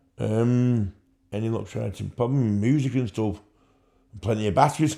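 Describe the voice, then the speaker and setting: A man with a Mancunian accent and a dark, mellow tone, at a moderate pace with ordinary pitch variation. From Manchester, England. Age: 50s. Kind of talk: interview answer.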